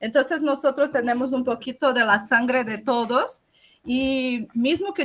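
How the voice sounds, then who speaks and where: Her pitch is high, and this woman's voice shows ordinary pitch variation. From Brazil, Amazon rainforest region. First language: Portuguese (speaking Spanish). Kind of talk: panel talk.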